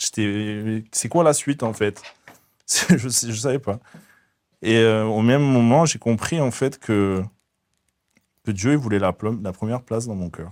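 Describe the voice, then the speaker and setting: A man speaks at a medium pitch and a fairly slow pace. He leaves long pauses, and often. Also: ordinary pitch variation. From southern France, raised from age 4 (born in the Netherlands). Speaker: faith testimony guest. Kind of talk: testimony interview. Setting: hair salon set. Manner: halting, frequent repetitions.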